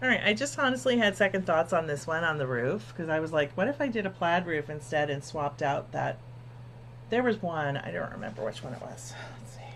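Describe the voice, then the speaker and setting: Mumbling at a fairly quick pace, a woman with an American accent and a very deep, low pitch swings her pitch very widely. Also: big swings in loudness. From New Jersey. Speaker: quilting livestream host. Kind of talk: casual live-stream chat. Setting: live stream. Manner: soft-spoken.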